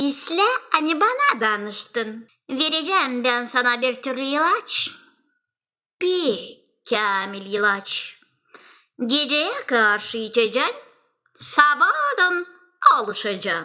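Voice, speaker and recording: A female-sounding cartoonish character voice, high in pitch, speaks very slowly with long, frequent pauses. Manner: sly, wheedling.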